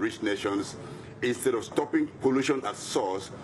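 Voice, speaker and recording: Noticeable noise runs in the background. The delivery keeps a moderate pace. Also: man. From Nigeria, Niger Delta. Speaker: environmental activist. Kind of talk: interview.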